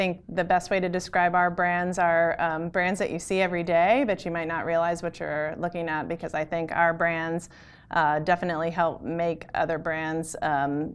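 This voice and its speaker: A woman talks at a moderate pace with a fairly low pitch. It is a plain, everyday voice. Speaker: guest. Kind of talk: interview answer. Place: hall. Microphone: lapel.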